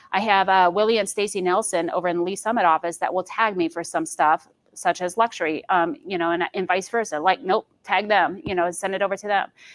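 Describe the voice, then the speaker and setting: Speaking at a fairly quick pace with an American accent, a woman uses ordinary pitch variation at a medium pitch, and the sound is dry and close with no echo. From Michigan. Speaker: real estate agent. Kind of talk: training presentation. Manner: fast.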